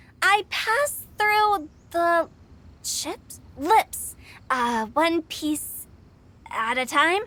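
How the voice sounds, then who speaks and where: Very slow and broken by long, frequent pauses, a put-on character voice speaks at an extremely high pitch. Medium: video game. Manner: formal, hesitant.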